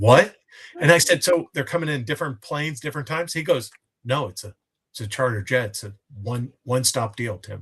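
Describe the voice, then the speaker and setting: The speaker uses a normal speaking voice at a fairly quick pace, with lively intonation and big swings in loudness. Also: man, medium pitch for a man. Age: 60s. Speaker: co-host. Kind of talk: casual chat. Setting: live stream.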